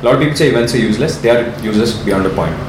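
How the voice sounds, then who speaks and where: This man's speech comes very fast. The room echo is audible, and background noise is noticeable. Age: 20s. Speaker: startup founder. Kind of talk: interview.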